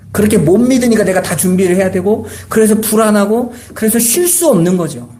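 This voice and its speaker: Through noticeable background noise and audible room echo, a man speaks at a fairly quick pace in a high pitch. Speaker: pastor. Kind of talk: sermon. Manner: conversational.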